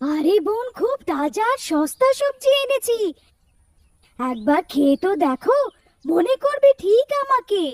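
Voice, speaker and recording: A woman's cackling, cartoonish character voice at an extremely high pitch, fairly slow, with very wide pitch swings. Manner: gloating, cackling.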